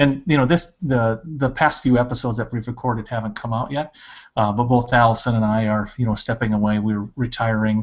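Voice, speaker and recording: A man with an ordinary speaking voice talks at a fairly quick pace, medium pitch and ordinary pitch variation. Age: 40s. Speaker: school principal. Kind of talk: casual interview on a video podcast.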